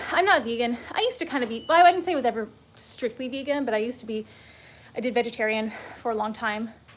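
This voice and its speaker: Over noticeable background noise, a woman with an American accent talks very fast at a high pitch, her pitch shifting an ordinary amount. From US. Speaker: fitness instructor. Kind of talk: live workout stream chat. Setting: home livestream. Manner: animated.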